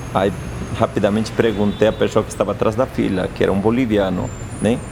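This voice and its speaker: Noticeable background noise accompanies this recording. A man with a fairly low pitch speaks at a moderate pace. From Peruvian Andes. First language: Quechua and Spanish (speaking Portuguese). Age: 40s. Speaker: chef and restaurant owner. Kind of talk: interview.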